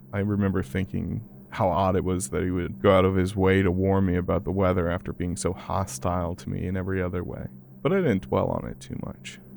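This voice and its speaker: With vocal fry, a man speaks at a very deep, low pitch and a fairly quick pace. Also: ordinary pitch variation. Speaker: horror podcast narrator. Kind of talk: horror story narration.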